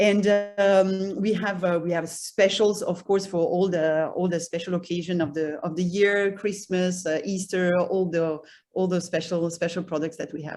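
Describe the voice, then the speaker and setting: A woman speaks at a moderate pace with a slight French accent, her medium-pitched voice flat and monotone. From France. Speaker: cheese shop owner. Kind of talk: self-introduction presentation. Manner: halting, many repetitions.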